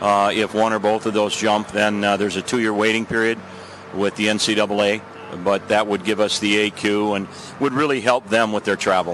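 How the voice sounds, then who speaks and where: With an American accent, the speaker moves at a fairly quick pace in a monotone, flat delivery at very even loudness, over noticeable background noise. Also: man, fairly low pitch for a man. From US Midwest, Saint Paul, Minnesota. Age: 70s. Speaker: hockey coach. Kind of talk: between-periods interview. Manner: halting, many fillers.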